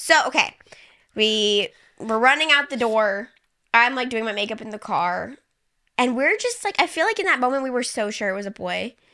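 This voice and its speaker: This woman's high-pitched voice has a bright, sharp tone, lively intonation, and big swings in loudness at a moderate pace. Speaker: podcast host. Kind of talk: casual chat.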